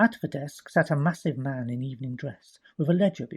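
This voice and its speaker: A man talks at a very fast pace in a fairly high pitch. His voice is somewhat breathy, with ordinary pitch variation. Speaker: audiobook narrator. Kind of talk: audiobook narration of a crime story.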